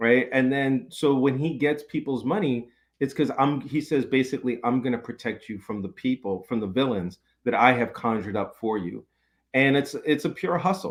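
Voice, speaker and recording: Using a normal speaking voice, a man with an American accent speaks at a moderate pace and medium pitch. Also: ordinary pitch variation. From New York City. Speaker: professor and author. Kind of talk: podcast interview.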